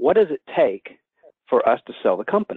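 A man talks at a very fast pace. He has a Southern US accent. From US South, Atlanta. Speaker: attorney. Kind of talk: webinar presentation. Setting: phone call.

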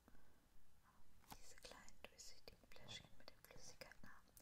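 Very slowly, a woman whispers her words. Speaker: ASMR creator. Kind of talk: ASMR whispered product haul. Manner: whispered, close-up. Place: home room. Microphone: studio mic.

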